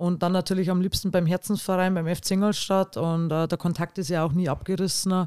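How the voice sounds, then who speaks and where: A dark, mellow voice speaks at a fairly quick pace with hardly any pauses, its intonation monotone and flat and its loudness very even. The sound is dry and close with no echo, on a very clean recording with a silent background. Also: woman, fairly low pitch for a woman. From Bavaria, Pfaffenhofen. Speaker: women's football department head. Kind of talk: casual chat. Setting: studio.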